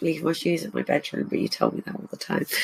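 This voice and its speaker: A woman speaks with an English accent. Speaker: podcast host. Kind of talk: casual chat.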